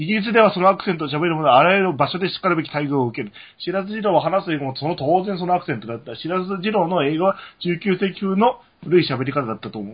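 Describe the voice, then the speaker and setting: A man with a high pitch talks at a very fast pace. His tone is animated, with lively intonation. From Japan. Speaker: podcast co-host. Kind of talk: casual chat.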